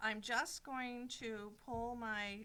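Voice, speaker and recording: This woman's voice sits fairly high and has a bright, sharp tone. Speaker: quilting shop demonstrator. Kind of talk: live sewing tutorial. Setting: livestream video from shop. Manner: fast.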